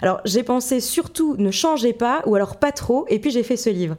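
Noticeable background noise sits behind a woman's high-pitched voice. She talks at a moderate pace with lively intonation. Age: 20s. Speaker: podcast host, journalist. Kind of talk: interview.

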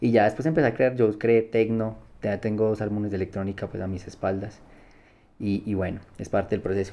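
With a quiet background, the speaker talks at a fairly quick pace in a dark, mellow tone and fairly even intonation. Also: man, fairly low pitch for a man. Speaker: blind music producer. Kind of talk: interview conversation.

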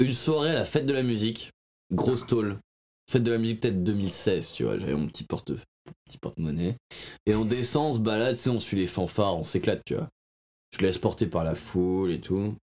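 This man speaks at a medium pitch and a moderate pace, with lively intonation. His speech is broken by long, frequent pauses. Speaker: podcast co-host. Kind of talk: casual chat.

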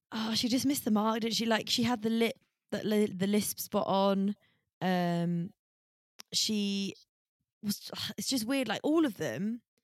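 A woman talks with a British accent. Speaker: podcast co-host. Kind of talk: casual chat.

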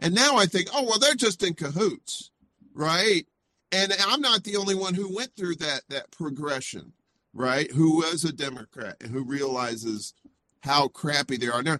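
With a Southern US accent, a man speaks at a moderate pace in a bright, sharp tone, his fairly high pitch swinging very widely. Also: dry, close sound with no echo. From US South, Mississippi. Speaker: indie media personality. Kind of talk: casual interview chat.

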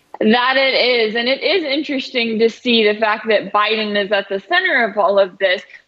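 A woman with an American accent speaks at a moderate pace with hardly any pauses, in a fairly high pitch with ordinary pitch variation, over noticeable background noise. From North Texas. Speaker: news commentator. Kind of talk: news commentary interview.

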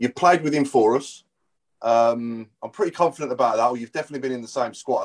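Talking at a very fast pace, a man speaks at a medium pitch with ordinary pitch variation. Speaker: podcast co-host. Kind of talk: casual chat.

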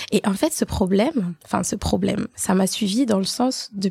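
A woman with a dark, mellow tone, somewhat breathy, at a moderate pace, in a dry, close sound with no echo. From Haitian family. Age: 30s. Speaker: podcast co-host. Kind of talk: casual chat. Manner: talkative, animated.

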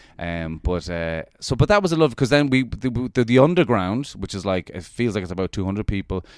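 With an Irish accent, a man speaks at a fairly low pitch with lively intonation and hardly any pauses, in a dry, close sound with no echo. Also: fairly quick pace, very clean recording, silent background. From Ireland. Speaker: comedian. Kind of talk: casual chat. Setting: New York City. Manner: animated.

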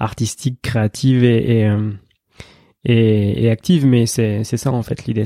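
With a dark, mellow tone and medium pitch, a man speaks at a very slow pace with fairly even intonation. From Gironde, south-west France. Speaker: sports psychologist. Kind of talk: interview.

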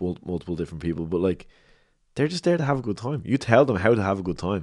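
A man with a Dublin accent talks at a very fast pace. The background is quiet. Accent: Dublin Irish. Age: 30s. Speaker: rapper. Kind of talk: casual chat. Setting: at home.

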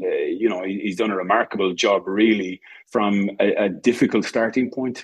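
Speaking at a fairly quick pace, a man with an Irish accent uses a fairly low pitch. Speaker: rugby attack coach. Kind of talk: interview. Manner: halting.

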